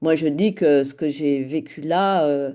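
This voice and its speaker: A dark, mellow tone at a very slow pace over a quiet background. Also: woman. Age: 60s. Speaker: former couples ministry volunteer. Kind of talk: interview testimony.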